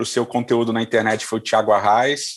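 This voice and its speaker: A man with a medium pitch talks over a quiet background. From Rio de Janeiro, Brazil. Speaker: pastor. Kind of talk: casual interview chat.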